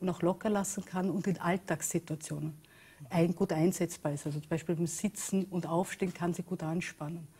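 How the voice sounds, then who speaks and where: A woman with a fairly low pitch sounds somewhat breathy. She keeps a moderate pace in a monotone, flat intonation. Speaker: talk show guest. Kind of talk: interview answer. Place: studio.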